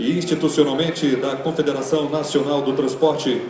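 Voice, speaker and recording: Noticeable background noise behind a man's fairly high voice. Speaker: master of ceremonies. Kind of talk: formal event opening announcement. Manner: formal, ceremonial.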